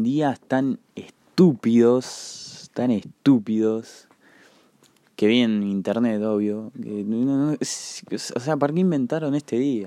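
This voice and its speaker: In a very clean recording with a silent background and a dry, close sound free of echo, a man with an Argentine accent speaks very slowly at medium pitch, with ordinary pitch variation and a dark, mellow tone. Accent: Rioplatense Argentine Spanish. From Argentina, La Plata. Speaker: podcast host. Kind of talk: casual solo monologue. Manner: hesitant, many filler words.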